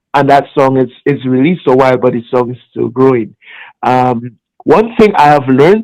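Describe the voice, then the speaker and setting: A man with a Trinidadian accent speaks at medium pitch and a moderate pace. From Trinidad and Tobago. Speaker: music artist. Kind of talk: interview.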